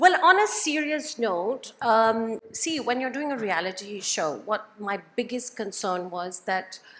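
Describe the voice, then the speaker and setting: A woman's fairly high voice at a very slow pace, with lively intonation. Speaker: reality TV cast member. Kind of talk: panel interview. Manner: loud.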